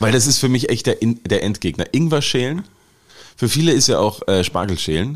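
The intonation is lively and the pace moderate. Loudness stays very even throughout. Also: man. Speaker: podcast co-host. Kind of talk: casual chat.

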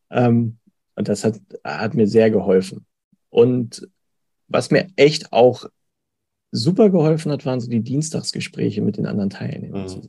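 Speaking at a moderate pace with long, frequent pauses, a man uses a medium pitch, a dark, mellow tone, vocal fry, lively intonation and big swings in loudness. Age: 40s. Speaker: payroll clerk, coaching client. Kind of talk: testimonial interview. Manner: hesitant, many fillers.

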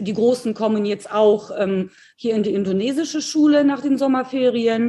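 Fairly high female voice of a dark, mellow tone, at a moderate pace and with ordinary pitch variation. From Poland, moved to Germany at nine. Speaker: entrepreneur, network marketer. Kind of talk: casual interview.

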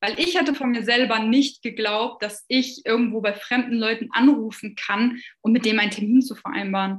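Fairly high in pitch, a woman speaks in an unremarkable speaking voice with ordinary pitch variation. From Lower Saxony, Germany (near Hannover). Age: 20s. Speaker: social media agency owner. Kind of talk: client testimonial interview.

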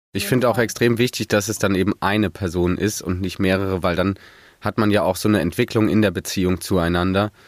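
With a plain, everyday voice, a man speaks at a fairly quick pace, with a fairly low pitch and fairly even intonation. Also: very clean recording, silent background. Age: 20s. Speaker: master's student, mentee. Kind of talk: podcast interview.

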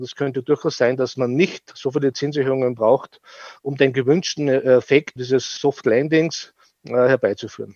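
Fairly even intonation and a medium pitch mark this man's speech at a moderate pace. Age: 50s. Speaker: fund manager. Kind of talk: interview. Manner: halting, repeats words.

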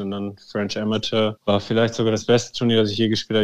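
Racing along at a very fast pace, a man talks at a fairly low pitch in a monotone, flat intonation. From Germany. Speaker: former professional golfer. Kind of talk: interview.

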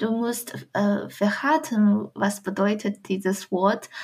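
A woman with a Chinese accent, fairly high-pitched and somewhat breathy, at a very slow pace with ordinary pitch variation, on a very clean recording over a silent background. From China, Shandong province. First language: Chinese (speaking German). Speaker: student. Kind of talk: interview. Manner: halting.

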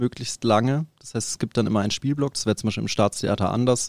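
This man has a plain, everyday voice at a medium pitch with fairly even intonation. The sound is dry and close, with no echo. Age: 30s. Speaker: professional drummer. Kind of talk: interview.

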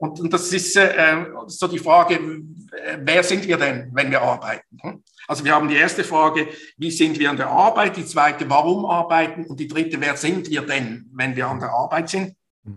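The man's pitch sits fairly high, with ordinary variation. He talks at a moderate pace. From Switzerland, Basel. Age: 50s. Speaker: business consultant and coach. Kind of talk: interview. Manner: hesitant, many fillers and repetitions.

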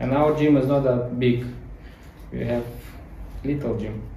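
The speaker goes at a fairly slow pace with fairly even intonation. Noticeable background noise can be heard. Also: man. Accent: Ukrainian. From Ukraine. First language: Ukrainian or Russian. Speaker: gymnastics coach. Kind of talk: interview. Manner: halting.

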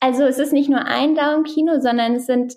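A woman speaks with fairly even intonation. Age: 20s. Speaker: startup founder. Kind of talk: interview. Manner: hesitant, many filler sounds.

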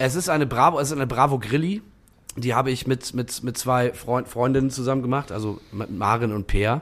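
A man with an ordinary speaking voice at medium pitch, ordinary pitch variation, and a fairly quick pace. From northern Germany, Bremen-Nord (Blumenthal). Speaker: musician. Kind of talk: casual chat. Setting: bar room with drinks.

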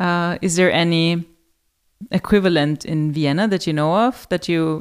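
In a German accent, a woman speaks at a moderate pace and a fairly low pitch with fairly even intonation, on a very clean recording with a silent background. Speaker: podcast host, hotel marketing. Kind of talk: interview.

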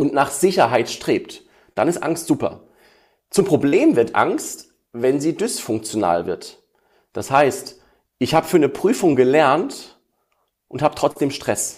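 A man speaks at a very slow pace, leaving long, frequent pauses. The recording is very clean, with a silent background. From Ruhr area, western Germany (Essen). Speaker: emotion coach and musician. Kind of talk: interview. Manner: hesitant with fillers.

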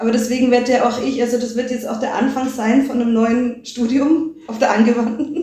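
Hardly pausing, a woman talks at a fairly quick pace with fairly even intonation and a high pitch. Noticeable background noise can be heard. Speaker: media and performance artist. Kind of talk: interview.

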